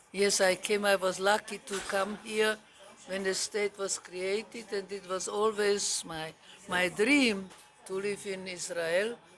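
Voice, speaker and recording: A woman at a medium pitch and fairly slow pace, with fairly even intonation and music in the background. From Czechoslovakia. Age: 80s+. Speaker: retired nursing teacher. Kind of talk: interview answer.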